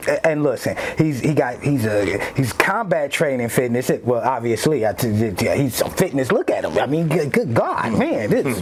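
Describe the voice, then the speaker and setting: Over noticeable background noise, a man with a fairly high pitch talks at a moderate pace in an animated tone, with lively intonation, very even loudness and hardly any pauses. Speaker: podcast host. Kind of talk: casual podcast chat.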